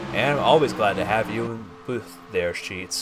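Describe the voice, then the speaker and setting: Over noticeable background noise, a man speaks fairly quickly in a fairly low pitch. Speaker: sim racing commentator. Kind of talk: live commentary. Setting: broadcast booth. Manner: soft-spoken; excited during close racing.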